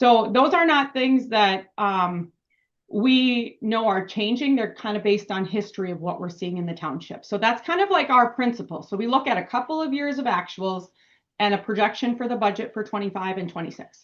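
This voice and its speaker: This woman has a fairly high pitch. Her intonation is lively. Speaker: municipal finance consultant. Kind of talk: budget presentation at town board meeting. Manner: fast.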